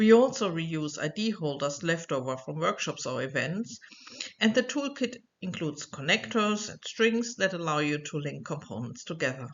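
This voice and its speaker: A woman with a German accent speaks at a fairly low pitch. Her pitch swings very widely. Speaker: researcher and educator. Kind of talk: online course lecture. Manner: clear, scripted.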